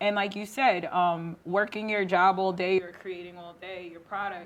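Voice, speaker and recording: At a moderate pace, a woman with a medium pitch talks in a flat monotone while her loudness swings widely. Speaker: talk show host. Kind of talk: casual interview.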